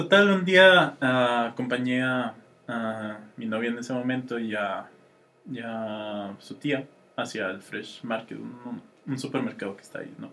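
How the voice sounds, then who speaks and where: Lively intonation marks this man's medium-pitched voice at a fairly slow pace. His loudness swings widely. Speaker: podcast co-host. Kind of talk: casual chat.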